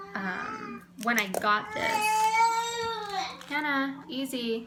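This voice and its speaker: Audible room echo and noticeable background noise surround speech with ordinary pitch variation. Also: woman. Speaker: cross stitch vlogger. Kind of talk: casual show-and-tell vlog. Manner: halting, many fillers and repeats.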